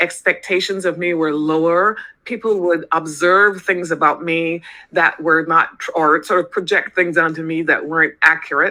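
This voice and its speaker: Using fairly even intonation, a woman speaks at a moderate pace with a fairly low pitch and a bright, sharp tone. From Barbados. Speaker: organizational psychologist. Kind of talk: interview.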